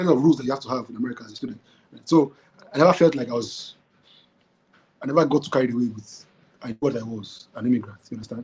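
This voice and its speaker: Talking at a very fast pace with long, frequent pauses, a man at medium pitch shows ordinary pitch variation and big swings in loudness. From Nigeria. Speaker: entrepreneur. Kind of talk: casual chat. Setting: podcast recording. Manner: halting, many repetitions.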